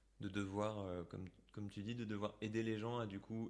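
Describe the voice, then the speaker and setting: A man talks at a fairly quick pace with a fairly low pitch. His delivery is a flat monotone. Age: 30s. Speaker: singer-songwriter. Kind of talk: casual chat. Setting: video call.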